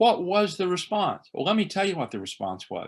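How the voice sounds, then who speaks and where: A man with an American accent at a moderate pace. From East Tennessee Appalachia, Carter County. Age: 60s. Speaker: priest. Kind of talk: conversational interview. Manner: animated; halting with fillers.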